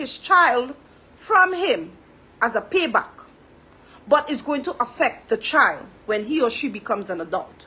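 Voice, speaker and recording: In a raised, projected voice with a Trinidadian accent, a woman speaks at a high pitch in a bright, sharp tone, her pitch swinging very widely amid long, frequent pauses. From Trinidad and Tobago. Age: 40s. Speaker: social commentary vlogger. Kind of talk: monologue commentary. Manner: halting.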